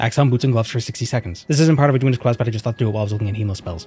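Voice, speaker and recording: A man talks at a very fast pace with a medium pitch and ordinary pitch variation. His tone is dark and mellow, and somewhat breathy. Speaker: gaming youtuber. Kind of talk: gameplay commentary. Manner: casual, jokey.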